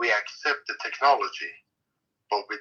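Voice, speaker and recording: Someone with a Middle Eastern accent talks at a fairly slow pace. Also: man. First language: Neo-Aramaic. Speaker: participant in online class. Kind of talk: casual sharing in discussion. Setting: online audio room on Clubhouse.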